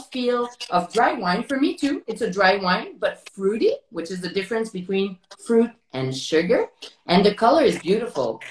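A woman at a moderate pace, with audible room echo. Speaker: interviewer, wine host. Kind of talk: interview conversation. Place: home room. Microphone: video call.

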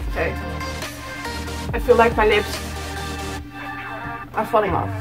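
A woman at a moderate pace over clear music in the background. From Netherlands. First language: Dutch. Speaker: vlogger. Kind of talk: casual talk to camera. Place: home room. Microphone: phone near.

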